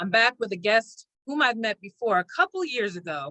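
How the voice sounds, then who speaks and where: A woman talks at a fairly quick pace in a bright, sharp tone, the sound dry and close with no echo. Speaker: podcast host. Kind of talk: interview host talk.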